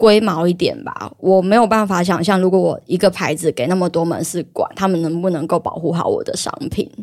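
A plain, everyday voice moves at a fairly quick pace with ordinary pitch variation and hardly any pauses. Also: woman, medium pitch for a woman. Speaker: illustrator and market-stall creator. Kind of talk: casual chat.

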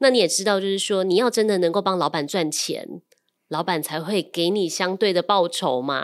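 On a very clean recording with a silent background, a woman with an unremarkable speaking voice talks at a medium pitch and a moderate pace. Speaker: loan manager and podcast co-host. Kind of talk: casual chat.

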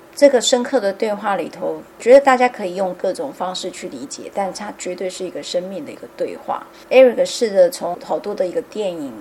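A woman at medium pitch talks at a fairly quick pace with hardly any pauses, her lively intonation and big swings in loudness set against noticeable background noise. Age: 50s. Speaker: podcast host. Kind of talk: casual chat.

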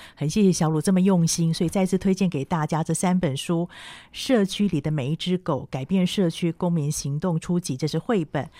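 A woman with an ordinary speaking voice talks at a moderate pace, her fairly low pitch showing ordinary variation. The very clean recording has a silent background and a dry, close sound with no echo. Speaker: radio host. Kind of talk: radio book-review interview.

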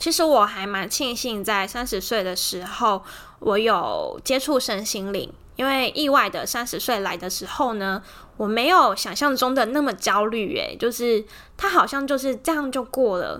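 In a very clean recording with a silent background, a woman with a high, bright, sharp voice speaks with lively intonation. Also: moderate pace. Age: 30s. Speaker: podcast host. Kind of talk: casual monologue.

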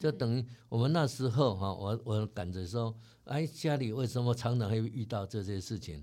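A man's medium-pitched voice with a dark, mellow tone. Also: ordinary pitch variation, moderate pace. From Taiwan. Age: 60s. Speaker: company chairman. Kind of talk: interview.

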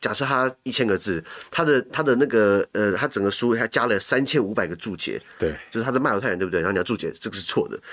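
Talking at a very fast pace with lively intonation, a man with a medium pitch comes through on a very clean recording with a silent background. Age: young. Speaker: podcaster and commentator on international news. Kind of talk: casual chat.

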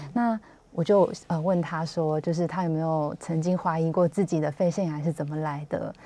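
A woman with a Taiwanese accent speaks at a moderate pace in a dark, mellow tone with a fairly low pitch. Her intonation is fairly even, and the recording is very clean with a silent background. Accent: Taiwanese Mandarin. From Taiwan, Hsinchu. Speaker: health magazine journalist. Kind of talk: radio interview. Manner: halting, many fillers.

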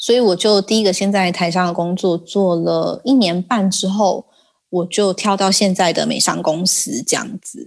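Here is a woman with a plain, everyday voice at medium pitch. She speaks at a moderate pace with ordinary pitch variation. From Taiwan. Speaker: regional sales manager. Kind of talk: casual interview.

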